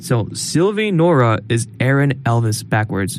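A man's pitch swings very widely as noticeable background noise runs behind him. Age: 20s. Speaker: college podcast co-host. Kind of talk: casual chat. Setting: studio.

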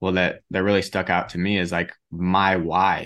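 Monotone, flat intonation against a quiet background. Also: man. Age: 20s. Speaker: podcast host. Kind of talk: podcast interview.

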